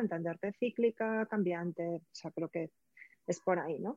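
A woman speaks at a fairly quick pace in a medium pitch. Her intonation stays fairly even. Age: 40s. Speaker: prenatal and postnatal coach. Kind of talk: interview. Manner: halting.

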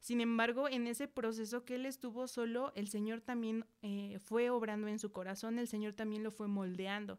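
Flat, monotone delivery at a moderate pace with hardly any pauses. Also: woman, fairly high pitch for a woman. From central Mexico. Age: 20s. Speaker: church member and Sunday school teacher. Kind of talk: testimony.

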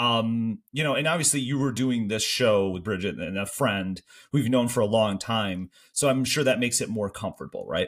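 In a very clean recording with a silent background, a man with a Midwestern accent talks at a moderate pace, his medium-pitched voice showing ordinary pitch variation. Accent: Canada-adjacent Midwestern. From Michigan. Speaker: podcast host. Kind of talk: casual chat.

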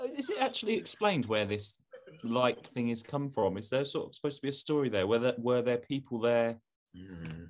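At a fairly quick pace, a man with a strong London accent talks at a medium pitch with ordinary pitch variation. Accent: London accent, stronger than usual today. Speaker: podcast co-host. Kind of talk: casual comedic chat.

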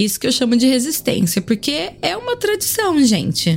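Over noticeable background noise, a woman talks in a high voice at a fairly slow pace. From Brazil, Sorocaba (São Paulo state). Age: 30s. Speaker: podcast host and cachaça importer. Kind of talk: casual monologue.

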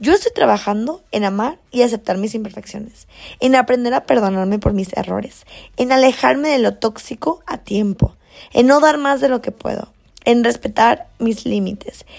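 At a moderate pace, a woman with a fairly high pitch sounds animated, using ordinary pitch variation. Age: 20s. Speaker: podcast host. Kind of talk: casual motivational monologue.

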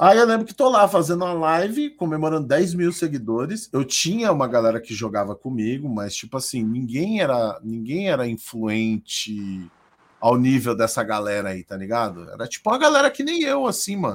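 A man's pitch swings very widely as he speaks. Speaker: streamer. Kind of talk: casual chat. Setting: live stream.

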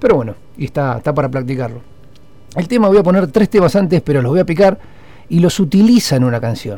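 A man speaks very fast with very wide pitch swings. His tone is dark and mellow and somewhat breathy. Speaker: radio host. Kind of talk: casual music radio talk.

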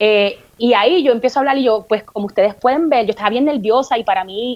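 A fairly high-pitched woman in a Puerto Rican accent, very fast, with ordinary pitch variation. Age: 40s. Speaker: comedian and podcaster. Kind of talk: casual interview chat.

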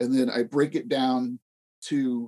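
Recorded dry and close with no echo, a man has an ordinary speaking voice at medium pitch, talking at a fairly slow pace with fairly even intonation. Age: 40s. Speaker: RPG blogger. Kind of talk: casual chat.

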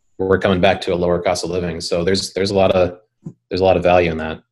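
A man's very deep, low voice in a flat monotone with an Upper Midwest accent. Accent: Upper Midwest American. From North Dakota, Bismarck. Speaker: video production company founder. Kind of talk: interview.

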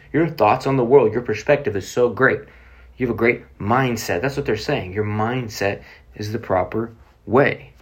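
A medium-pitched man with an American accent, somewhat breathy, at a moderate pace with ordinary pitch variation. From Oklahoma City, US. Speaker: podcast host, motivational speaker. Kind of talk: motivational talk.

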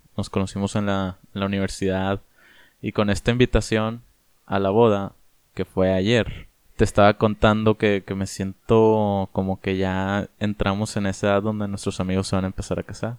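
Recorded with a dry, close sound and no echo, a man speaks at a moderate pace in a fairly low pitch with monotone, flat intonation. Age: 20s. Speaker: podcast co-host. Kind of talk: casual chat. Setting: remote recording from separate homes.

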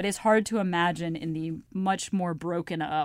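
Ordinary pitch variation shapes an unremarkable speaking voice. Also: woman, very clean recording, silent background. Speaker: political journalist guest. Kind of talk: casual chat.

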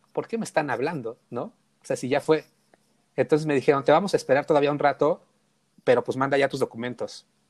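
Talking very fast yet with long, frequent pauses, a man with a fairly high pitch uses ordinary pitch variation, and the sound is dry and close with no echo. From Mexico City (Tepito). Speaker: photographer. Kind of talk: casual chat.

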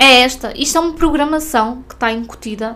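Pitched high, a woman talks at a moderate pace with ordinary pitch variation. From northern Portugal. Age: 30s. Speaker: podcast host and spiritual mentor. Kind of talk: casual monologue podcast.

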